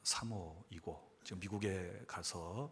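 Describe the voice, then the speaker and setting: A very slow pace with ordinary pitch variation. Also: man. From South Jeolla, Sinan County. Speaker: pastor. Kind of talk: lecture.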